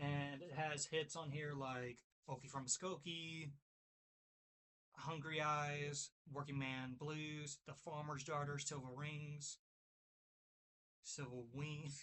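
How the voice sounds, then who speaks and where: A man speaks in a Kentucky accent, his fairly high voice flat and monotone. He talks very slowly, with long, frequent pauses. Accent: Kentucky twang. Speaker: music video creator, record reviewer. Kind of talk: casual vinyl review video. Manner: halting, self-correcting when reading titles.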